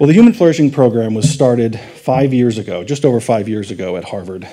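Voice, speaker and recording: With a dark, mellow tone, a man talks at a fairly quick pace and ordinary pitch variation. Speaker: conference speaker. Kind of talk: lecture. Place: hall.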